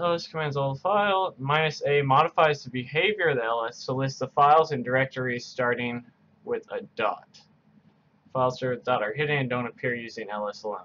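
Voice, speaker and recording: A man speaks at a moderate pace. Light background noise sits behind him. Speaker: coding tutor. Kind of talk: tutorial. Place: home room.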